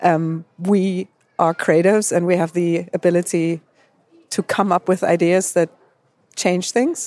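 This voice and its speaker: A dark, mellow tone in a German accent, at a fairly slow pace with long, frequent pauses and monotone, flat intonation, in a dry, close sound with no echo. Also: woman, fairly low pitch for a woman, very even loudness. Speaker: advertising creative. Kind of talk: panel discussion.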